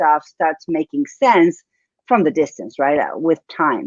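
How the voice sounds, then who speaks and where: In a dry, close sound with no echo, a woman with an Argentine accent speaks in a fairly low voice at a moderate pace. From Argentina, Buenos Aires. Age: 40s. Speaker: business coach. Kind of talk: interview.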